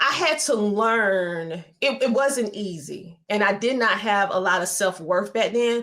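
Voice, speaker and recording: With a strong Southern US accent, a woman of medium pitch talks at a fairly slow pace with lively intonation and hardly any pauses. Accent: heavy Southern twang. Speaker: media entrepreneur and educator. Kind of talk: interview.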